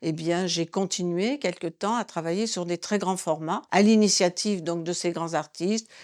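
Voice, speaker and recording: Heard in a very clean recording with a silent background, a woman speaks at a fairly low pitch with ordinary pitch variation. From France, Limousin (Limoges). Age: 70s. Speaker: textile artist. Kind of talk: interview. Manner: hesitant, many fillers.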